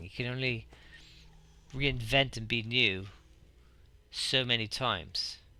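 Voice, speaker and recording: In a very clean recording over a silent background, a man speaks with vocal fry, a bright, sharp tone and ordinary pitch variation. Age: middle-aged. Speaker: gaming YouTuber. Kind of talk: let's play commentary.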